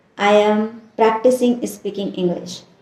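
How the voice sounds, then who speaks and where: At a very slow pace, a woman speaks at a medium pitch in a dark, mellow tone that is somewhat breathy. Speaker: English learner vlogger. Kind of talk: unscripted practice monologue. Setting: on camera. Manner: slow, with pauses; hesitant, with fillers.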